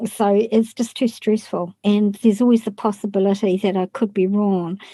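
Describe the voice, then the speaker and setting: A woman with a dark, mellow, somewhat breathy tone talks at medium pitch, her intonation fairly even. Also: dry, close sound with no echo. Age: 60s. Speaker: psychic medium. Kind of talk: casual interview, telling personal stories.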